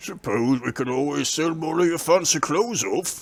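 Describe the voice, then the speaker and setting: A man puts on a character voice with a fairly high pitch. He uses lively intonation at a moderate pace. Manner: casual, placating.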